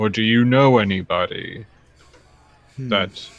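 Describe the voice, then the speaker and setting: The man talks at a very slow pace. He is using a put-on character voice. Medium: actual play. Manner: measured, formal.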